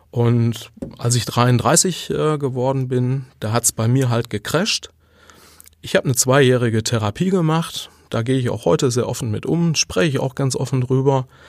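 A man of medium pitch at a moderate pace, with ordinary pitch variation and an unremarkable speaking voice. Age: 40s. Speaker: podcast host and leadership coach. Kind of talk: solo monologue on self-improvement. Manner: conversational with filler words.

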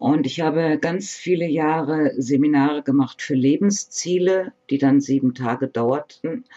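A woman speaks at a very slow pace with ordinary pitch variation. The sound is dry and close, with no echo. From northern Germany, Bremen. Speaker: psychologist. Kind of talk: interview.

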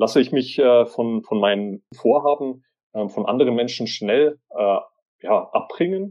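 A man talks in an unremarkable speaking voice. His pace is moderate and his intonation lively. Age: 30s. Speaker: author and social media agency owner. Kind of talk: interview.

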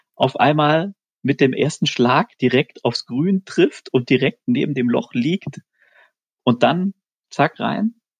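A man at a very slow pace with lively intonation, in a dry, close sound with no echo. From Swabia, near Stuttgart. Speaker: amateur golfer, listener guest. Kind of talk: casual chat. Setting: remote call from home.

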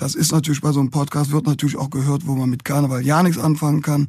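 A man talks in a fairly high voice. It sounds somewhat breathy. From Cologne, Germany. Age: 50s. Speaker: musician. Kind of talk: casual chat.

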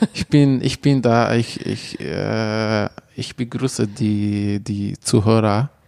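With an Arabic accent, a man talks at a very slow pace in a fairly low voice with fairly even intonation, the sound dry and close with no echo. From Syria, Manbij near Aleppo. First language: Arabic (speaking German). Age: 20s. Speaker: refugee volunteer, community manager. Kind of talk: interview. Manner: halting.

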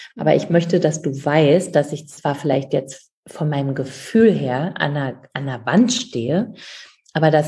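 Somewhat breathy and dark, mellow in tone, a woman speaks at a fairly slow pace with a very deep, low pitch. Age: 50s. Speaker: author, speaker and coach. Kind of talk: interview.

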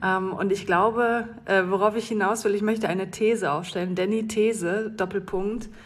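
A woman speaks at a moderate pace with hardly any pauses, her medium-pitched voice monotone and flat in intonation, with audible room echo. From North Rhine-Westphalia, Germany. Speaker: listener sending a voice message. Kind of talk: recorded voice message.

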